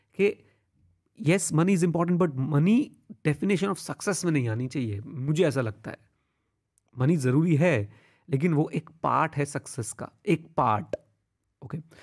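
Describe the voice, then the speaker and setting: On a very clean, dry, close recording with a silent background and no echo, a fairly high-pitched man speaks in an animated tone with lively intonation, big swings in loudness and long, frequent pauses. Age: 30s. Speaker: motivational YouTuber. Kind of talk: motivational talk.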